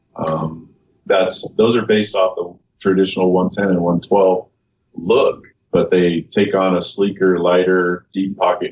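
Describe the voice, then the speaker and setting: A man's unremarkable speaking voice, fairly low in pitch, at a fairly slow pace with fairly even intonation. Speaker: knife company employee. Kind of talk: casual interview.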